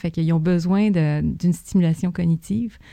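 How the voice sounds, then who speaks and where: A woman speaks in a plain, everyday voice, fairly low in pitch with ordinary pitch variation. The background is quiet. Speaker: zoo veterinarian. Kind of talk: casual interview.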